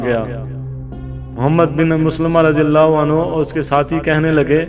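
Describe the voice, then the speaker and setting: A man speaks with a fairly high pitch. Music plays in the background. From Pakistan. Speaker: voice-over artist. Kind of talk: Islamic history story narration.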